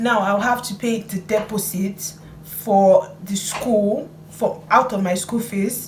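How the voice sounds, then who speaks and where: Against noticeable background noise, a woman speaks very slowly at a medium pitch with fairly even intonation. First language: not English. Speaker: student vlogger. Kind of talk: vlog tutorial.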